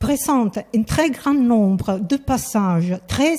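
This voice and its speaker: The speech comes at a very slow pace with lively intonation. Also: woman. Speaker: scholar, historian of science. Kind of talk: lecture. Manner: hesitant, many fillers.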